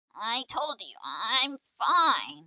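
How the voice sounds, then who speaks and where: This is a put-on character voice. It sounds raspy. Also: female-sounding voice, high pitch for a woman. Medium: game stream. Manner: soft, subdued.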